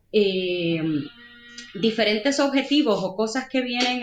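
Very slowly a woman talks, with music in the background. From Puerto Rico. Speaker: digital analytics manager. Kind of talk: interview.

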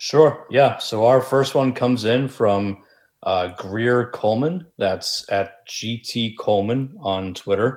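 Speaking at a very slow pace with an American accent, a man uses ordinary pitch variation in a very clean recording with a silent background. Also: medium pitch for a man. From Massachusetts, US. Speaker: sports podcast co-host. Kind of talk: casual chat.

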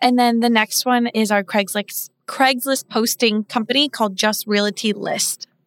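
A normal speaking voice with an American accent moves at a fairly slow pace with fairly even intonation, hardly any pauses and very even loudness, in a dry, close sound with no echo. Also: woman, fairly high pitch for a woman. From US Midwest, Omaha, Nebraska. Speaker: real estate operations and marketing director. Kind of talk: casual interview chat. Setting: studio.

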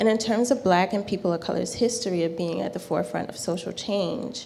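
With noticeable background noise in the recording, this woman talks in an American accent. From rural South Carolina. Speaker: spiritual teacher and tarot reader. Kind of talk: class talk. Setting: live class in a shop.

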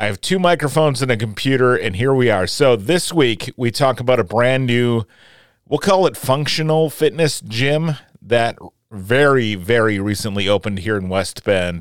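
An ordinary speaking voice carries lively intonation. The pace is moderate. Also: man, medium pitch for a man. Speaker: podcast host. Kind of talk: casual interview chat. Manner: upbeat, friendly.

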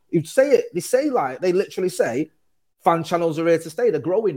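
A man with a Mancunian accent speaks at a very fast pace. The recording is very clean, with a silent background. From Manchester, England. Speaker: football fan channel co-owner. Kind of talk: casual chat.

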